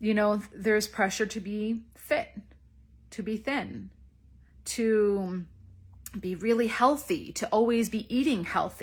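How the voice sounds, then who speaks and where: A woman with a fairly high, somewhat breathy voice speaks at a very slow pace. She shows ordinary pitch variation and takes long, frequent pauses. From east coast of Canada. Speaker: feminine magnetism coach. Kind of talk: live stream monologue. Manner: casual, conversational.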